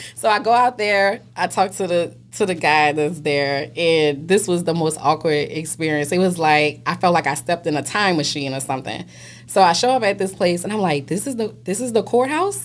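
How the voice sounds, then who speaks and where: With a New Orleans accent, a woman with a fairly low pitch speaks in an animated tone at a moderate pace, her intonation lively. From New Orleans, Louisiana. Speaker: realtor. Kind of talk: casual chat, storytelling.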